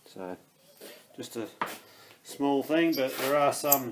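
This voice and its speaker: A man talks while noticeable noise is heard in the background. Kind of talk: tutorial. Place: workshop. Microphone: phone near.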